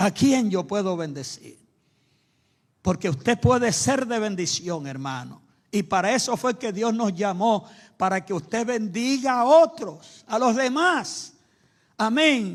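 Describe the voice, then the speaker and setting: Very slowly and in a high pitch, a man speaks with very wide pitch swings in a very clean recording with a silent background. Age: 80s+. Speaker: preacher. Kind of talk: sermon.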